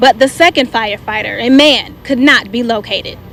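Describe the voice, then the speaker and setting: The speaker talks at a fairly quick pace with an American accent and ordinary pitch variation. Noticeable background noise is present. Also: woman. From Michigan. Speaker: TV news reporter and weather anchor. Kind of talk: TV news field report. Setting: outdoors. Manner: energetic, personable.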